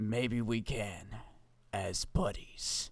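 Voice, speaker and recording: A man's put-on character voice, fairly low in pitch, dramatic in tone, with fairly even intonation. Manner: badass, dramatic.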